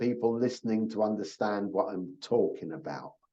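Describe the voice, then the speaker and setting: Here a man is speaking. His tone is dark and mellow. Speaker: program orientation presenter. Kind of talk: online orientation talk. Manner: slow and repetitive.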